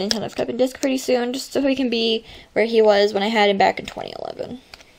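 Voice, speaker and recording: A woman with a fairly high voice talks at a very fast pace in a flat monotone. Noticeable background noise can be heard. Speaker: video game pet channel creator. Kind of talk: casual game showcase narration. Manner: halting.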